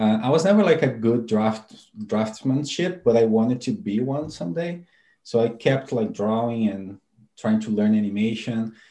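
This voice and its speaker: Speaking with a Brazilian accent, a man with a medium-pitched, dark, mellow tone talks at a moderate pace with ordinary pitch variation against a quiet background. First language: Portuguese. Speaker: animator and software tool developer. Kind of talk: interview.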